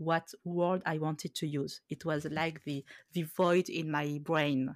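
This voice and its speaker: Speech comes at a very slow pace. The recording is very clean with a silent background, dry and close with no echo. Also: woman. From France, Khmer family. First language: Khmer. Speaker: podcast host. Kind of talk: casual chat. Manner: halting.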